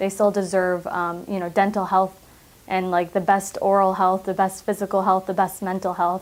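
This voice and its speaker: Using monotone, flat intonation, a woman with a Midwestern American accent speaks at a moderate pace. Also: medium pitch for a woman. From US Midwest, Michigan. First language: Arabic. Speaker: public health clinic director. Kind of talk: interview monologue.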